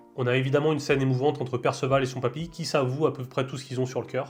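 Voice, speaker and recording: With music in the background, a man speaks at a very fast pace and medium pitch. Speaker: anime reviewer. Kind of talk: casual talk to camera.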